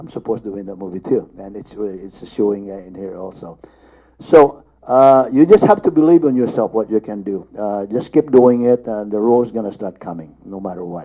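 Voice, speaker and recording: Moving at a fairly quick pace, a man speaks in a dark, mellow tone with ordinary pitch variation and big swings in loudness. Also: fairly low pitch for a man. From Philippines. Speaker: actor. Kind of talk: panel discussion. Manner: halting.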